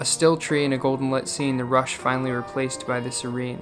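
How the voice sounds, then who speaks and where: Music plays in the background as a man speaks at a fairly quick pace. His pitch is medium, with ordinary pitch variation. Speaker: solo backpacker and filmmaker. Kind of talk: spoken word poetry narration.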